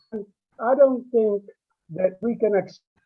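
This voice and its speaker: A man is speaking. His pitch is extremely high. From born abroad, in UK since age twelve. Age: 60s. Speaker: audience member at public meeting. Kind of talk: public comment in online meeting. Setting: video call. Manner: halting.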